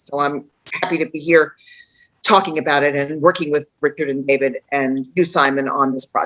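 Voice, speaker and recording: With a New York accent, a woman talks at a moderate pace in a very deep, low pitch and fairly even intonation. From New York City, Queens. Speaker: author and tour guide. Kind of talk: online panel introduction.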